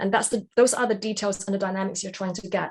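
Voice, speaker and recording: A woman with a British accent speaks at a medium pitch with fairly even intonation. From Britain. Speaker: jobs-to-be-done practitioner. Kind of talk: webinar Q&A. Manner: hesitant, many fillers.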